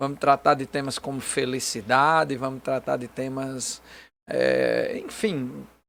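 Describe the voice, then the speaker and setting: On a very clean recording with a silent background, a man with a northeastern Brazilian accent speaks at a fairly high pitch. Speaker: pastor. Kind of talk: casual chat. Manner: halting with fillers.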